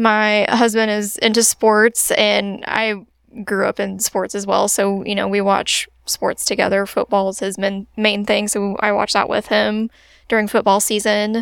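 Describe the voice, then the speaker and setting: A woman with a Midwestern American accent speaks at a medium pitch and a fairly slow pace. Her intonation is monotone and flat, in a dry, close sound with no echo. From central Illinois (Springfield area). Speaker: physician assistant. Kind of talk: interview answers, casual. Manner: casual, frequent laughter.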